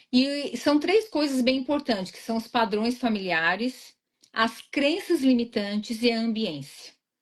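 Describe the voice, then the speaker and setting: A woman with a high pitch and lively intonation speaks at a fairly slow pace, her loudness swinging widely. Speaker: weight-loss mentor. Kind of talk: live interview.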